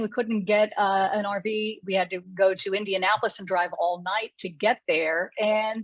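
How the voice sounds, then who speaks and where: Against a quiet background, a woman with an American accent and an ordinary speaking voice talks at a moderate pace and medium pitch. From US South, Alexandria, Louisiana. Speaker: journalist. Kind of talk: interview.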